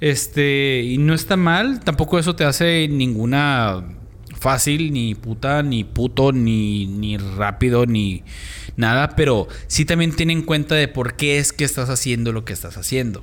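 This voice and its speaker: A man speaks in a plain, everyday voice at medium pitch. His pace is fairly slow and his intonation lively. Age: 30s. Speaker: podcast co-host. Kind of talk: casual chat.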